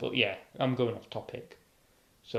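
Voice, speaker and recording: A man with a British accent speaks in a somewhat breathy voice. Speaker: YouTuber. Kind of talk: reading aloud with commentary. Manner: halting, many self-corrections; casual, rambling.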